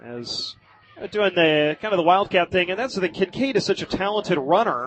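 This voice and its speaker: A man talks at a fairly quick pace in an energetic tone and a high pitch, with noticeable background noise. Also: lively intonation. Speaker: football play-by-play radio announcer. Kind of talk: live sports radio play-by-play call. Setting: high school football broadcast from stadium. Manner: fast, energetic.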